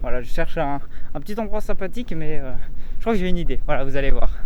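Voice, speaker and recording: With a fairly high pitch, a man rattles along at a very fast pace. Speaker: YouTuber, vlogger. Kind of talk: casual vlog talk. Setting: outdoors, walking in the street. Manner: halting, stammering, searching for words.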